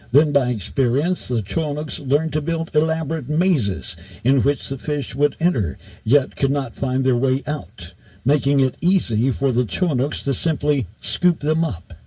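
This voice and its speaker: With an American accent, a man speaks at a moderate pace in a dark, mellow, somewhat breathy voice of fairly high pitch with ordinary pitch variation. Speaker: radio broadcaster. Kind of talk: audiobook narration.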